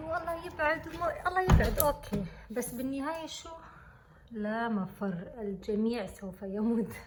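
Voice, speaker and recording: Soft-spoken and high-pitched, a woman talks at a fairly slow pace with lively intonation. Audible room echo and noticeable background noise are present. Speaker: student vlogger. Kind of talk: vlog. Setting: university building. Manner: soft-spoken, speaking quietly.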